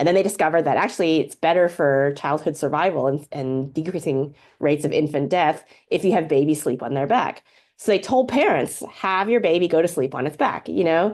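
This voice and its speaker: A woman with an American accent speaks at a very deep, low pitch. Her intonation is lively and her pace fairly quick, with a quiet background. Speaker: professor and organizing researcher. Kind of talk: lecture. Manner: fast.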